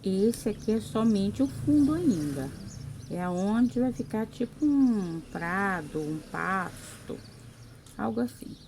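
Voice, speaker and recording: Soft-spoken and somewhat breathy, a woman speaks at a very slow pace in a dark, mellow tone with very wide pitch swings. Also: fairly low pitch for a woman. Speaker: craft painting teacher. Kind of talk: tutorial.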